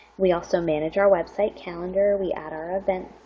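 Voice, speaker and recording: A woman with a fairly low pitch talks at a moderate pace in an unremarkable speaking voice. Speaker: public services librarian and webinar presenter. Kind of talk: webinar presentation. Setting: online webinar.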